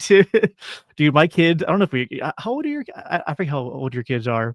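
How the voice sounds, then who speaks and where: A man speaks at a fairly quick pace in an unremarkable speaking voice, his pitch fairly high. The sound is dry and close with no echo, a very clean recording over a silent background. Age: 30s. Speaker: podcast host. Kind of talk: casual chat. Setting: livestream.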